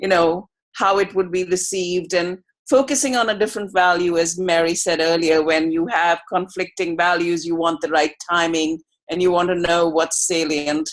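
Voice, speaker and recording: Speaking at a moderate pace with fairly even intonation, a woman uses a fairly low pitch, an American accent and an unremarkable speaking voice. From outside the US. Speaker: researcher. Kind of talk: video call discussion. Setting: video call.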